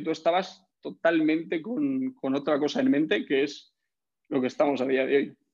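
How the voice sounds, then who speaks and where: Lively intonation marks a man's fairly high-pitched speech. He has an ordinary speaking voice and talks at a moderate pace. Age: 20s. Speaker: fitness coach and entrepreneur. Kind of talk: casual chat.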